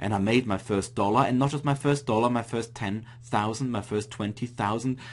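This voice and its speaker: The speaker talks at a fairly quick pace with an Austrian accent. The intonation stays fairly even. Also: man, medium pitch for a man. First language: German. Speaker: internet marketing entrepreneur. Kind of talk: webinar presentation. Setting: online webinar.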